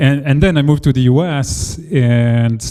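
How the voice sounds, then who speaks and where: A man with a French accent, a dark, mellow tone and ordinary pitch variation. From France. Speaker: engineering leader. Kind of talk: panel discussion. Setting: meetup with audience.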